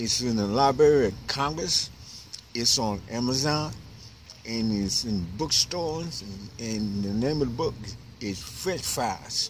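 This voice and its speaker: Against noticeable background noise, a man speaks at a fairly slow pace. His medium-pitched voice has lively intonation. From New York City, Harlem. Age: 60s. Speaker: homeless author. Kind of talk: interview. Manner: halting.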